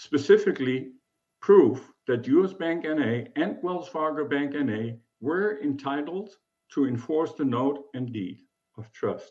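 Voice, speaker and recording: A man with a German accent, fairly high in pitch, with lively intonation and a fairly slow pace. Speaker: self-represented appellant. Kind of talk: court oral argument. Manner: formal.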